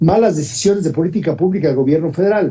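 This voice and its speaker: Here a man talks at a fairly quick pace, his high pitch carried by lively intonation. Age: 60s. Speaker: politician. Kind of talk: panel discussion.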